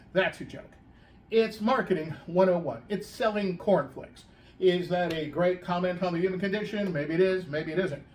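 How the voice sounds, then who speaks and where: A man with a high pitch and ordinary pitch variation speaks at a moderate pace over noticeable background noise. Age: 60s. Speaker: political operative. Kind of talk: casual chat.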